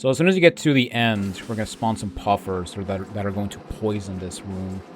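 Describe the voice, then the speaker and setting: At a fairly quick pace and with ordinary pitch variation, the speaker shows big swings in loudness over noticeable background noise. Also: man, fairly low pitch for a man. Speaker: gaming streamer. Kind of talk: gameplay commentary. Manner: soft-spoken; halting.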